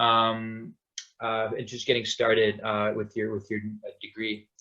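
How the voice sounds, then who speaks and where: With a Canadian accent, a man speaks at a fairly slow pace and medium pitch in monotone, flat intonation. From Vancouver, Canada. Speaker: graduate student. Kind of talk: panel discussion. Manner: halting, many fillers.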